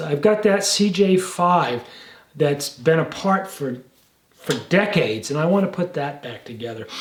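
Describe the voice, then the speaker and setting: Audible room echo around a man's fairly slow speech of ordinary pitch variation. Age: 70s. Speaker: jeep restorer and gunsmith. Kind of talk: casual vlog talk to camera. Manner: halting, repeats words.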